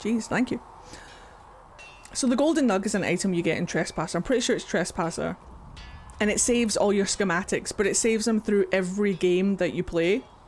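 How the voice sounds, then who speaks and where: Music plays in the background. The speech moves at a fairly quick pace, broken by long, frequent pauses. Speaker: gaming streamer. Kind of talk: casual chat. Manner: low energy.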